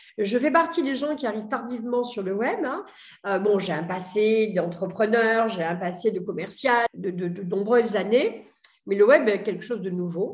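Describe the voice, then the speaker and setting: In a room with audible echo, a woman with a fairly high voice speaks at a moderate pace. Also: lively intonation. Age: 60s. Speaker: entrepreneur. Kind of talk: testimony. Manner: hesitant, many fillers.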